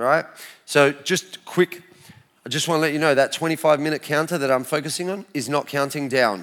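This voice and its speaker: With an animated tone and an Australian accent, the speaker goes at a fairly quick pace with ordinary pitch variation. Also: man, fairly high pitch for a man. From Australia (Adelaide), Lebanese family. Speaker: lay preacher giving testimony. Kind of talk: testimony. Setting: church stage with audience.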